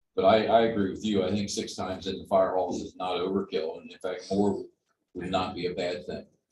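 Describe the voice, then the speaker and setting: The speaker is a man moving at a fairly quick pace. His volume rises and falls in big swings. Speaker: resident speaking at public meeting. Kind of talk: public comment.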